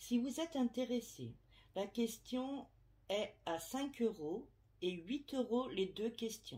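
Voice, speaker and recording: Her pitch swings very widely as a woman talks very slowly. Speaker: medium / tarot reader. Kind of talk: casual vlog to subscribers. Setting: at home, window open. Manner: hesitant, many fillers.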